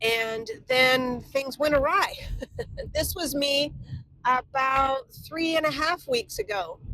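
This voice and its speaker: A woman speaks at a high pitch and a very slow pace, her voice raised and projected. Her tone is bright and sharp, with lively intonation. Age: 60s. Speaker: vlogger on midlife. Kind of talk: reflective vlog narration.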